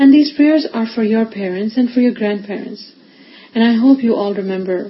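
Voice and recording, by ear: Pitch varies in an ordinary way here. The text is read aloud in a natural voice.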